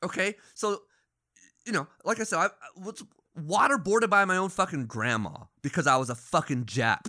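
A man's high, bright, sharp voice with an American accent, very wide pitch swings, and long, frequent pauses. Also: moderate pace. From Phoenix, Arizona. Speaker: podcast host. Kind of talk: casual chat.

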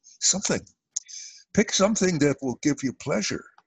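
Against a quiet background, a man with a fairly high voice talks at a fairly quick pace, his pitch swinging very widely in a dry, close sound with no echo. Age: 80s. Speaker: author and family therapist. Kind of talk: interview, conversational.

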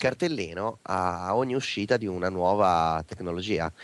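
A normal speaking voice at a moderate pace, with ordinary pitch variation against a quiet background. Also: man. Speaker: geek culture guest. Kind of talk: casual interview.

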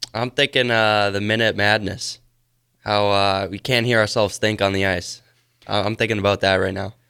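A fairly low-pitched man with an American accent, moderate pace, bright, sharp tone and monotone, flat intonation. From Wisconsin. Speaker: junior hockey player. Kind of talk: radio interview.

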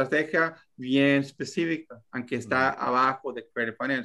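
A man with a fairly high pitch and a bright, sharp tone, speaking at a fairly slow pace against a quiet background. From Texas, US. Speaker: real estate investor. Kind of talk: podcast interview. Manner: halting.

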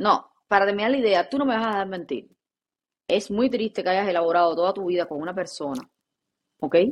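Animated and with lively intonation, a woman speaks at medium pitch and a fairly quick pace, though with long, frequent pauses. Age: 30s. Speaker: podcast co-host. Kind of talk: casual chat.

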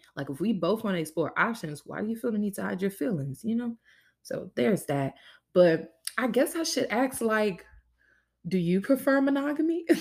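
A woman's fairly high voice with very wide pitch swings, vocal fry, and a moderate pace. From Louisiana. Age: 20s. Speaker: podcast host, university student. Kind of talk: casual solo monologue. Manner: animated.

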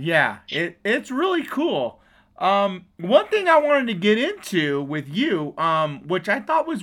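Energetic in tone, a man with an American accent speaks at a fairly slow pace and a high pitch, with very wide pitch swings, in a very clean recording with a silent background. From US West Coast. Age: 40s. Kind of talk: casual chat. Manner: loud.

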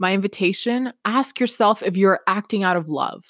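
A woman with a Canadian accent and ordinary pitch variation, on a very clean recording with a silent background and a dry, close sound with no echo. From Peru, raised in Canada from age six. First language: Spanish. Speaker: podcast host, self-development coach. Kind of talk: motivational monologue.

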